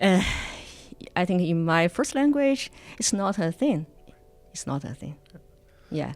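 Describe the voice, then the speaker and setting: Music plays in the background as a woman with a Chinese accent speaks at a fairly slow pace with long, frequent pauses. Her voice is medium in pitch, with very wide pitch swings. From China. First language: Mandarin Chinese. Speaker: immigrant documentary filmmaker and Mandarin teacher. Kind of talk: podcast interview. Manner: halting.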